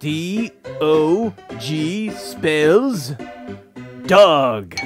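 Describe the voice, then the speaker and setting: A cartoonish character voice sits at a middle pitch. Faint music plays in the background. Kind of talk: children's educational puppet show. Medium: puppet. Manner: theatrical, exclamatory.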